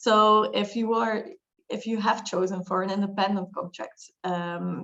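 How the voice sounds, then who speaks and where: A medium-pitched woman's voice in a Flemish accent, at a moderate pace with monotone, flat intonation. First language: Dutch. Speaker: lawyer. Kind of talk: webinar discussion.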